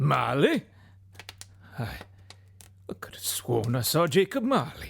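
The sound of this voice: A man speaks slowly in a put-on character voice, his pitch medium and swinging widely. The tone is fairly bright with a slightly husky edge and some vocal fry.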